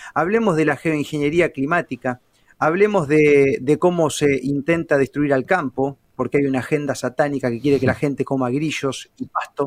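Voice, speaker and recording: A man with an ordinary speaking voice talks at a moderate pace with fairly high pitch. His pitch varies in an ordinary way, and the sound is dry and close with no echo. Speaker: journalist. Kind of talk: casual interview.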